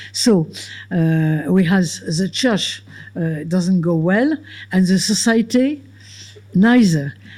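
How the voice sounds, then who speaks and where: With a French accent, a woman speaks in a fairly low voice with lively intonation at a very slow pace. Long, frequent pauses break her speech, and noticeable background noise is present. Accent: French, non-native English. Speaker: philosopher and author. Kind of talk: Q&A answer after a lecture. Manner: halting.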